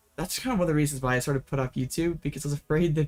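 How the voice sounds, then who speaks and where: Music plays behind a man speaking at a very fast pace. His pitch is fairly high and his intonation fairly even. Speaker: streamer playing card game online. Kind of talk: casual live stream commentary. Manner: halting, repeated words.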